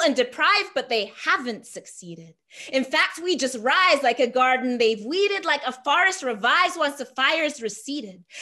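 With a raised, projected voice and lively intonation, a woman speaks at a moderate pace and a high pitch. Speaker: spoken word poet. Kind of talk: spoken word poetry performance. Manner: rhythmic, rhyming, emphatic delivery. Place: home room. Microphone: webcam.

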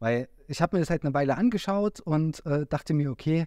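At a moderate pace, a man with a Saxon accent speaks at a fairly high pitch in a dark, mellow tone. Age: 30s. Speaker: trader and academy team member. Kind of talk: casual interview. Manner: hesitant, many fillers.

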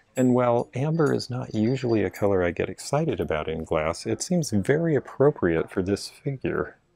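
A man talks at a moderate pace. He has an unremarkable speaking voice. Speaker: vintage reseller. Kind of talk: casual shopping vlog commentary. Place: shop. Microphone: phone near.

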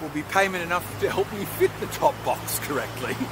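Noticeable background noise sits behind a man talking at a moderate pace, in a dry sound with no echo. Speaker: motorcycle vlogger. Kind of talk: casual vlog chat. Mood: wry, relaxed. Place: street. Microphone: phone near.

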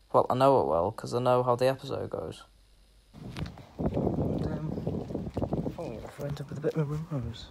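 Soft-spoken, a man talks at a moderate pace with ordinary pitch variation and big swings in loudness. Long, frequent pauses break up his speech over loud background noise. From northwest England. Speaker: vlogger; vlogger filming a walk. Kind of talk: casual vlog narration. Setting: outdoors, walking. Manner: quiet, soft-spoken. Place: street. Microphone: phone near.

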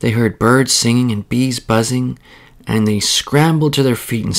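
Reading in an unforced voice, the speaker shows ordinary pitch variation.

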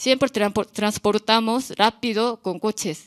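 A woman's fairly high voice with a Korean accent, set against a quiet background. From South Korea, small town. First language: Korean (speaking Spanish). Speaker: visual artist; artist on a panel. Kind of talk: artist talk. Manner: halting, non-native phrasing. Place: hall. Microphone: podium.

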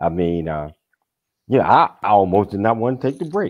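A man is speaking. Behind him the background is quiet. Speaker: talk show host. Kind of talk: talk show interview. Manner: animated. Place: home room. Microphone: video call.

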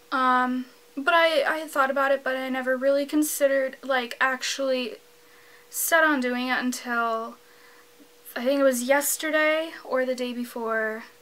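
This woman's voice is high-pitched, with fairly even intonation. She talks at a moderate pace. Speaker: vlogger. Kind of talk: casual vlog chat. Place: home room.

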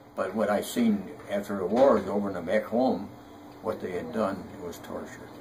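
Amid noticeable background noise, a man with fairly low pitch speaks at a moderate pace with ordinary pitch variation. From United States. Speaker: war veteran. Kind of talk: interview answer. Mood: solemn, reflective. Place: home room. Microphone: webcam.

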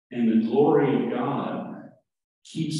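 Strong room echo surrounds a man speaking at a fairly slow pace. His pitch swings very widely. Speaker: pastor. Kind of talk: sermon. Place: church.

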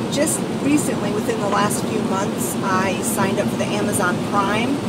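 Loud noise behind a woman talking rather slowly. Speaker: vlogger. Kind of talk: casual vlog chat. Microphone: phone near.

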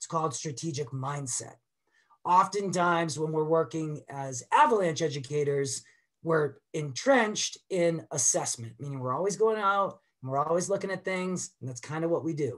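A man with an American accent speaks in a plain, everyday voice at a fairly high pitch and moderate pace. His pitch variation is ordinary, his loudness swings widely, and the background is quiet. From Boston. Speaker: avalanche educator. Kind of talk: webinar presentation. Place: home room. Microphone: webcam.

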